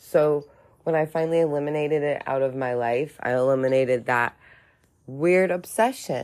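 A woman speaks at a moderate pace with a very deep, low pitch, recorded very cleanly against a silent background. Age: 30s. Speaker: podcaster in recovery from alcohol addiction. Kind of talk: personal monologue, testimony.

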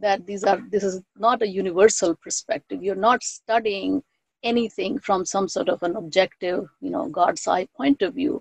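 With a Bengali accent, a woman talks at a medium pitch and a moderate pace. Her intonation is lively, and the sound is dry and close with no echo. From India (Bengal). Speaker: professor and author. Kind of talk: interview.

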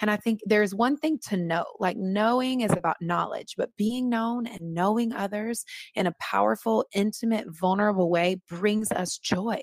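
A woman's plain, everyday voice, fairly high in pitch, with ordinary pitch variation, a moderate pace and hardly any pauses, in a dry, close sound with no echo. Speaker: author. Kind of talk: casual interview chat.

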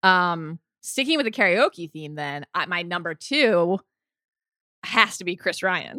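In a very clean recording with a silent background and a dry, close sound with no echo, a bright, sharp voice with an American accent shows lively intonation and big swings in loudness. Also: woman, fairly low pitch for a woman. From US, Maryland. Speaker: podcast host. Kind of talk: casual chat.

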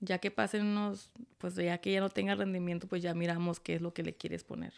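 A woman's plain, everyday voice with ordinary pitch variation, on a very clean recording with a silent background. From Tijuana, Mexico. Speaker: podcast guest, host's partner, off-road enthusiast. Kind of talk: casual chat. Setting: home studio setup, video recording.

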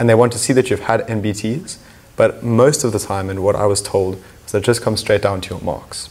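A man's fairly low, somewhat breathy voice at a fairly quick pace, with ordinary pitch variation and big swings in loudness. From South Africa, Cape Town. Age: 20s. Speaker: medical student. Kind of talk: casual interview.

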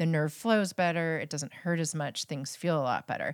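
A woman with an unremarkable speaking voice talks at a moderate pace and fairly low pitch, the sound dry and close with no echo on a very clean recording with a silent background. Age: 40s. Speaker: physician. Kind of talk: casual chat.

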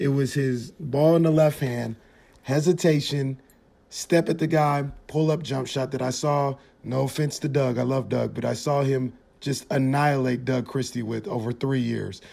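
In an American accent, a man speaks at a medium pitch and a moderate pace. He has a plain, everyday voice with fairly even intonation. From Sacramento, California. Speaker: sports podcast host. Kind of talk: casual chat.

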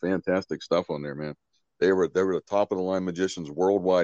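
Speaking fairly quickly with a Pittsburgh accent, a man uses a very deep, low voice and fairly even intonation. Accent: Western Pennsylvania (Pittsburgh). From Pittsburgh, Western Pennsylvania. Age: 50s. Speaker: horror magician. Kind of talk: casual chat.

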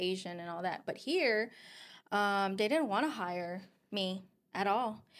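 Her pitch is fairly high for a woman, with ordinary pitch variation, in a Filipino accent. She speaks at a fairly slow pace. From Philippines and Guam. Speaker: podcast host. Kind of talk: casual chat.

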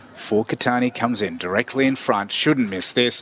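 Male speech at a moderate tempo amid noticeable background noise. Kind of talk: live sports commentary. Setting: Australian rules football match call.

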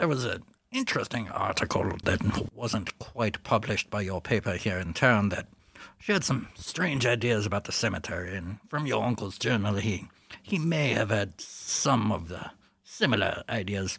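Using a put-on character voice, a man speaks at a fairly low pitch and moderate pace with lively intonation, a fairly bright tone, vocal fry and a slightly husky edge.

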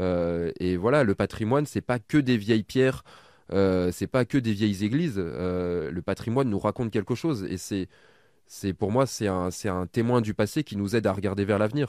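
In a very clean recording with a silent background, a man with a fairly low pitch speaks at a moderate pace, his pitch varying in an ordinary way. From Burgundy, France. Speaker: adventurer and heritage content creator. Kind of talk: interview. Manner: halting, frequent repetitions.

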